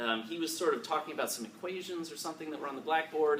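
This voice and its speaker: Over noticeable background noise comes a voice with an American accent. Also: man. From Chicago, US. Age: 30s. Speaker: tech entrepreneur speaker. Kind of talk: panel talk to alumni audience. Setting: event room with audience. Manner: halting, many fillers and repetitions.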